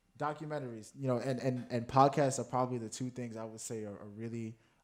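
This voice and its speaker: Talking at a fairly quick pace with fairly even intonation, a man with an American accent comes through in a very clean recording against a silent background. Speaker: activist guest. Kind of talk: casual chat. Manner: fast.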